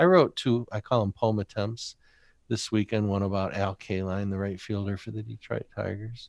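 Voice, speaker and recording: With an American accent, a man talks in a normal speaking voice at a moderate pace and with fairly even intonation, the sound dry and close with no echo against a quiet background. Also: fairly low pitch for a man. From Michigan and Rochester, New York. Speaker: poet and poetry teacher. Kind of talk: interview conversation.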